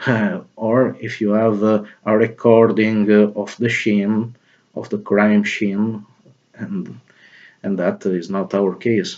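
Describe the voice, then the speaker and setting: At a very slow pace, a man speaks with fairly even intonation. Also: fairly low pitch for a man. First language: not English. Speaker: video blogger. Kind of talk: spoken opinion monologue. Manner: halting, many fillers.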